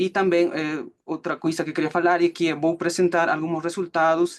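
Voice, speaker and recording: This man speaks with a Peruvian accent. His pitch is fairly high. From Peru, Cusco. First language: Spanish (speaking Portuguese). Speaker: student presenting final thesis. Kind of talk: academic presentation. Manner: halting, many fillers.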